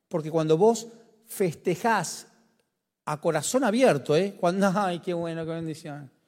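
Speaking in a Rioplatense accent, a man uses a high pitch and an animated tone at a fairly slow pace. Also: ordinary pitch variation. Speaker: pastor. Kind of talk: sermon.

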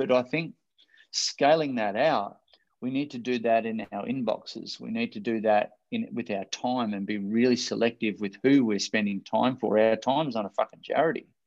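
A man speaks with an Australian accent. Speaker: motivational speaker and life coach. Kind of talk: interview. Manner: animated.

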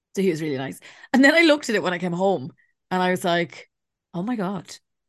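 Against a quiet background, a woman with an Irish accent speaks at a fairly quick pace, her pitch swinging very widely. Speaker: podcast co-host. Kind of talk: casual chat. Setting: video call.

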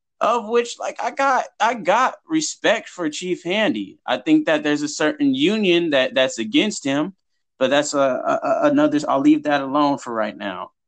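A high-pitched man with an American accent, very wide pitch swings, a moderate pace and hardly any pauses. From Huntington Beach, California. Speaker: activist. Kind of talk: interview.

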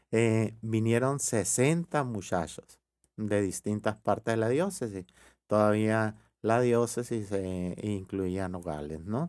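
On a very clean recording with a silent background, the speaker goes at a very slow pace with ordinary pitch variation. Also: man, fairly low pitch for a man. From Mexico, Sonora (Ures/Hermosillo). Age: 50s. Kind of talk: interview.

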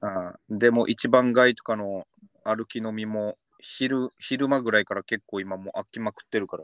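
A man with a plain, everyday voice speaks at a moderate pace and medium pitch, with fairly even intonation, big swings in loudness, and a dry, close sound with no echo. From Okinawa. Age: 30s. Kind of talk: casual chat.

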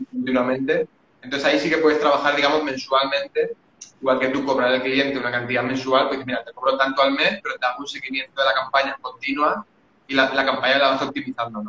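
Over noticeable background noise, a man talks at a very fast pace in a fairly high pitch with monotone, flat intonation. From Spain, Valencia. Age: 30s. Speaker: Facebook ads marketer. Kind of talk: casual chat.

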